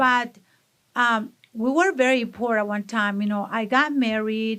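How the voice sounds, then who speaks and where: Over a silent background on a very clean recording, a woman speaks at a very slow pace with a strong Mexican accent. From Mexico, Monterrey. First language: Spanish. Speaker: salsa business owner. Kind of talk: interview. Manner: energetic.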